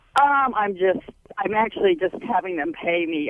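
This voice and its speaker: Over noticeable background noise, a woman speaks at a fairly quick pace with very wide pitch swings. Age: 60s. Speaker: caller. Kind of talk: call-in question. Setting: phone call.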